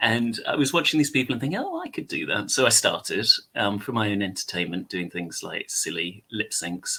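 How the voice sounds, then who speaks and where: A man with an English accent at a moderate pace. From England. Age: 30s. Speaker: content creator. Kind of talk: casual chat. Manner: hesitant, many fillers.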